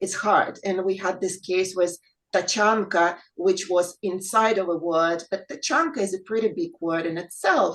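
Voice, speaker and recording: A woman speaks with a Russian accent at a moderate pace. Her pitch is medium, with ordinary variation. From Ukraine. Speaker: English teacher, reading group member. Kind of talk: panel discussion.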